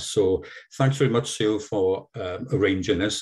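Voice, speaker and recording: A man speaks with a Welsh accent at medium pitch. His voice is somewhat breathy and his pace moderate. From South Wales. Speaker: seal conservation volunteer presenter. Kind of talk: online presentation. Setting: video call. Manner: halting.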